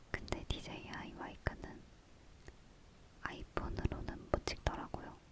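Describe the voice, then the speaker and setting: A woman whispers fairly slowly, pausing long and often, as noticeable background noise continues. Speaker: ASMR content creator (YouTuber). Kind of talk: ASMR whisper talk to camera, casual chat about microphones. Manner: soft-spoken, whispering.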